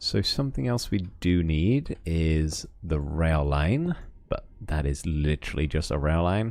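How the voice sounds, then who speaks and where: Here a man speaks with a very deep, low pitch and a slight West Country accent. His intonation is lively and his pace fairly slow. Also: very even loudness. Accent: slight West Country accent, shows on r sounds. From West of England. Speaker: Minecraft streamer. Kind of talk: livestream commentary with chat. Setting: livestream. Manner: casual, chatty.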